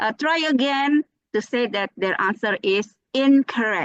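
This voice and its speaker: A high-pitched woman with an Indonesian accent and very wide pitch swings. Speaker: speaker at a teachers' webinar. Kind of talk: webinar presentation. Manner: hesitant, many fillers. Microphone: voice muffled by mask but clear.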